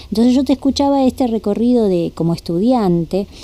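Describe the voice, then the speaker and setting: Speaking at a moderate pace, a woman has a dark, mellow tone and lively intonation. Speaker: radio host. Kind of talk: interview. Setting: studio.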